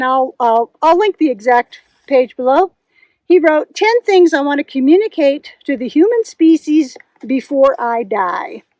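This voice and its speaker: A woman's high voice with very wide pitch swings at a fairly slow pace, dry and close with no echo. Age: 60s. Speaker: knitting and hiking vlogger. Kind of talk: casual vlog chat. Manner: halting, with fillers.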